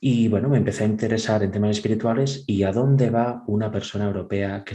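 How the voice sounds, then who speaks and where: The speaker is a man with a Catalan accent. His tone is dark and mellow. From Catalonia, Spain (Vic). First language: Catalan (speaking Spanish). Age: 30s. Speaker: churchgoer giving testimony. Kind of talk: testimony.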